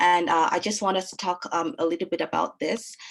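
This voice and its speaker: A woman with a Nigerian accent at a moderate pace, against a quiet background. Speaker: lawyer and webinar moderator. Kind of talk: webinar panel moderation. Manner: hesitant, many fillers.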